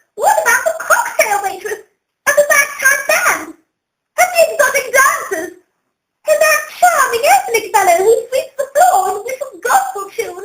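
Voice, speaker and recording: An extremely high, squeaky put-on character voice speaks at a moderate pace with a slight echo. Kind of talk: comic overacting. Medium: stage play. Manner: gushing, melodramatic.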